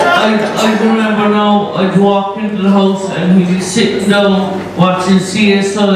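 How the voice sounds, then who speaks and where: A man at a moderate pace, with audible room echo and loud background noise. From Ireland. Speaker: best man. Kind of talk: wedding speech. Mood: joking, teasing. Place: hall.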